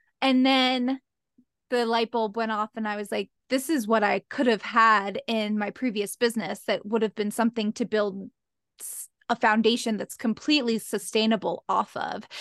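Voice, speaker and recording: A woman's plain, everyday voice, fairly high in pitch with fairly even intonation, at a moderate pace, in a dry, close sound with no echo and a quiet background. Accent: American. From Philadelphia area, Pennsylvania. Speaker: cycle syncing coach. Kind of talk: casual interview.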